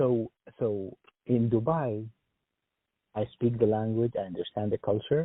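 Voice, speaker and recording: At a moderate pace, a man speaks with an Arabic accent at a medium pitch. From Sudan. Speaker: engineer job candidate. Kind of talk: job interview phone call.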